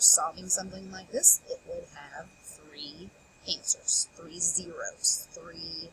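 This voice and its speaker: A woman at a very slow pace, dry and close with no echo, with noticeable background noise. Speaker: math teacher. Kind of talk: tutorial.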